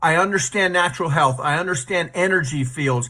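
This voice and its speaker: Bright and sharp in tone, a man's high-pitched voice moves at a moderate pace with ordinary pitch variation. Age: 60s. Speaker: product user giving testimonial. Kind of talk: testimony.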